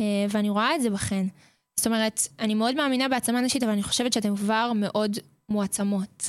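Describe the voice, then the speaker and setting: The recording is very clean, with a silent background. The voice moves at a fairly quick pace, with very even loudness and fairly even intonation. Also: woman, fairly high pitch for a woman. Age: 20s. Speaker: boarding school counselor. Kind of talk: radio interview. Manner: hesitant, many fillers.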